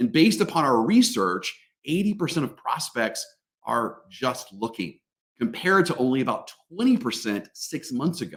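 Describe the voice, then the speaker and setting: A man's animated, fairly high voice with vocal fry, very wide pitch swings and a moderate pace. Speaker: sales trainer. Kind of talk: webinar presentation.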